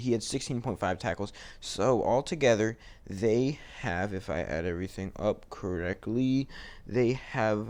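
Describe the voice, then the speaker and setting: Using a raspy, put-on character voice at medium pitch, a man talks at a moderate pace with ordinary pitch variation. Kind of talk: casual sports talk.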